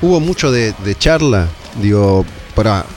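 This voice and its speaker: Noticeable background noise runs under a man's voice, which has ordinary pitch variation. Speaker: metal radio show host. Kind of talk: casual interview chat.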